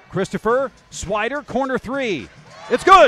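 A man uses a raised, projected voice at a very slow pace with lively intonation, in a dry sound with no echo and light background noise. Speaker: basketball play-by-play announcer. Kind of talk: live basketball play-by-play commentary, rattling off names and actions. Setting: broadcast booth. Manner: bursts of excitement on big plays. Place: stadium. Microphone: headset.

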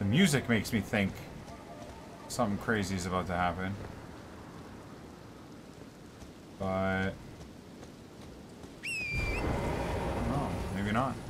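Over noticeable background noise, a man talks at a fairly slow pace with long, frequent pauses and ordinary pitch variation. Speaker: game streamer. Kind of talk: casual gameplay commentary. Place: home room.

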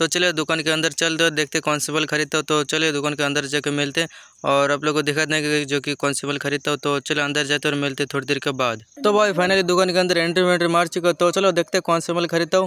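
A man speaks fast with few pauses and little pitch movement. His tone is clear and smooth, yet also bright and sharp. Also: fairly high pitch for a man.

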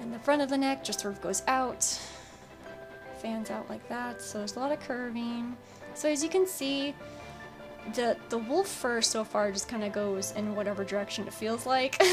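A woman mumbles at a moderate pace, with long, frequent pauses. Music plays in the background. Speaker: digital artist. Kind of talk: tutorial voiceover. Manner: mumbling a bit.

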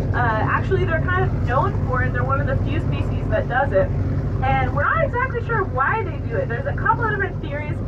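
The speech comes at a very fast pace over loud background noise. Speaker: whale-watch tour guide. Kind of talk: guide commentary to passengers. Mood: upbeat, enthusiastic. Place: boat.

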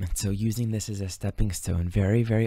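This man has a dark, mellow, somewhat breathy voice with a calm, gentle tone. His intonation is monotone and flat, and the sound is dry with no echo. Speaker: astrology teacher and meditation guide. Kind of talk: guided meditation and spiritual teaching. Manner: calm, slow, gentle, reflective. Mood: calm, gentle, reflective. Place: home room. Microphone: studio mic.

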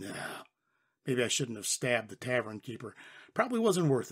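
A man uses a put-on character voice, raspy and medium in pitch, at a fairly quick pace. The recording is very clean, with a silent background. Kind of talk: first-person western narration. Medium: read story. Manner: wry, deadpan, sardonic.

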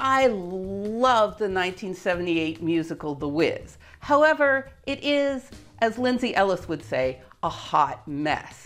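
Faint music plays in the background. A woman is speaking. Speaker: educational video host. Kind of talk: explainer commentary. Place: home room.

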